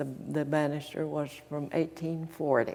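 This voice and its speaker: Speaking with an Appalachian accent, a woman uses a very deep, low voice with a dark, mellow tone at a fairly slow pace. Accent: Appalachian Southern. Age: 80s+. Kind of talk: interview answer.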